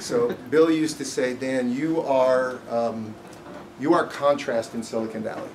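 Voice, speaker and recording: Against noticeable background noise and audible room echo, a man with a US East Coast accent speaks at a moderate pace in a medium pitch with fairly even intonation. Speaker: business executive. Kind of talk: speech. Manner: loud; unscripted.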